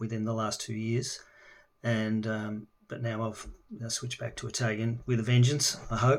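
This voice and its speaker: A man speaks with an Australian accent. His intonation is monotone and flat. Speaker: language learner. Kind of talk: casual video introduction. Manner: halting, many fillers.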